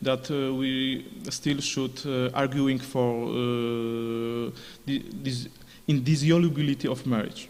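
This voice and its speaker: Audible room echo surrounds a man at a medium pitch. He speaks at a very slow pace with monotone, flat intonation. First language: Polish. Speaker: conference speaker. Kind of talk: conference Q&A answer. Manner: halting, many fillers.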